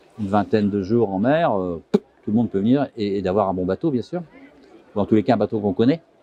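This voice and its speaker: Fairly low in pitch, a man speaks with ordinary pitch variation. His pace is fairly quick. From France, Vosges (Mirecourt). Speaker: sailor. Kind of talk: interview. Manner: halting.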